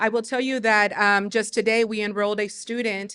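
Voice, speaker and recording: In a Spanish accent, a woman with a medium pitch and a bright, sharp tone speaks in monotone, flat intonation at a moderate pace against a quiet background. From Mexico, moved to US in third grade. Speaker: teacher and community leader. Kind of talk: panel discussion.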